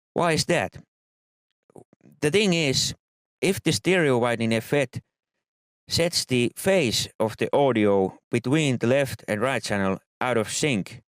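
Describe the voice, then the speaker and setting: A man with a non-native accent at a fairly slow pace, long, frequent pauses and very even loudness, on a very clean recording with a silent background and a dry, close sound with no echo. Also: medium pitch for a man, lively intonation. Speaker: music production tutor. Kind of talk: tutorial.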